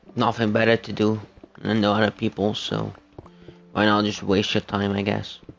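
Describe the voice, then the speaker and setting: A man speaks at a moderate pace in a fairly low, monotone, flat voice, with long and frequent pauses. Background noise is noticeable. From Netherlands, bilingual English and Dutch. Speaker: gaming livestreamer. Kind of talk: casual livestream chat. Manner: hesitant, many fillers.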